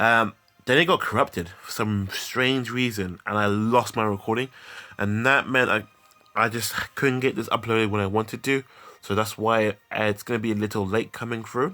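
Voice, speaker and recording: Music is playing in the background while a man speaks at a moderate pace. His medium-pitched voice keeps fairly even intonation. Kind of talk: game review talk. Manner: casual, hesitant.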